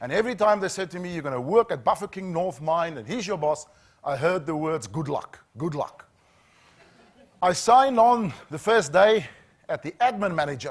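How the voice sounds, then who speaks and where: A man with a South African accent speaks at a moderate pace and a high pitch. His intonation is lively. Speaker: safety trainer, former HR manager. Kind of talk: corporate training talk.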